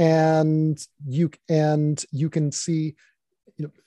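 A man with an American accent has a dark, mellow tone. The sound is dry and close, with no echo. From US South, Virginia. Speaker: author and futurist. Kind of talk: interview. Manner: halting, many fillers.

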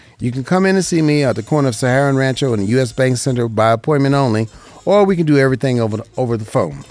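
A man talks very fast with an American accent. His pitch is medium, with ordinary variation. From Las Vegas, Nevada. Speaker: radio host and insurance broker. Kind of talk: paid radio program on insurance. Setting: radio studio.

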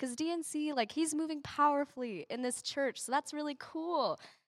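A woman at a moderate pace, in a dry, close recording with no echo and a silent background. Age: 20s. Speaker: church member. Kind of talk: talk on giving. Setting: church.

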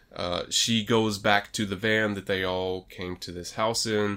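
A man with a plain, everyday voice, fairly low in pitch, at a fairly slow pace. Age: 30s. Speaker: horror movie podcast co-host. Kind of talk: casual movie review chat.

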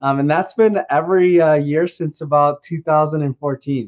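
In a dry, close sound with no echo, a man with a fairly high pitch speaks with a strong Minnesotan accent. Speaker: co-host. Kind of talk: casual podcast chat. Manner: upbeat, chatty.

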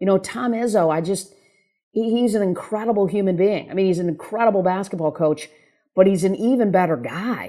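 Speaking at a fairly quick pace, a woman has an ordinary speaking voice at a medium pitch. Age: 50s. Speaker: former sports agent, keynote speaker and author. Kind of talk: interview.

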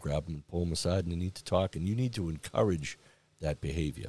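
A man speaks very fast with an American accent. His pitch is very deep and low, and his tone is dark and mellow. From Massachusetts, South Shore (Braintree). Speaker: police chief. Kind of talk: interview.

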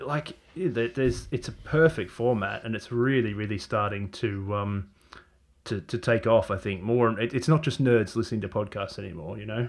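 With ordinary pitch variation, a man talks in a medium pitch at a moderate speed. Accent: Australian. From Australia. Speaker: marketing technology consultant. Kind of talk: casual chat. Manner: halting.

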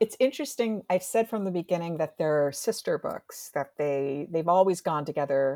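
Recorded very clean with a silent background and a dry, close sound with no echo, a woman with an American accent uses a normal speaking voice at a fairly low pitch, speaking at a moderate pace with lively intonation. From US Northeast, New Jersey. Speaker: professor. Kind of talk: academic interview.

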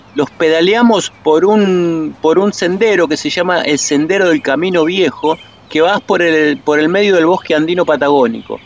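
Against noticeable background noise, a high-pitched man talks at a moderate pace with ordinary pitch variation. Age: 60s. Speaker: cycling tour guide. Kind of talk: interview. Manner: halting, many fillers and repetitions.

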